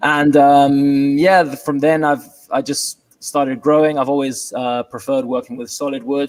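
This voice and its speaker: In a British accent, a man speaks with fairly even intonation. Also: fairly high pitch for a man, moderate pace. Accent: British-sounding. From London, England. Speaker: furniture maker and business owner. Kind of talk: interview. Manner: halting.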